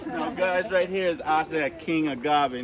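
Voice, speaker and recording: A man with a Caymanian accent at a moderate pace, over noticeable background noise. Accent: Caymanian Caribbean English. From Cayman Islands. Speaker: tour guide. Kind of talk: guided tour talk. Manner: toning down accent to be understood; animated.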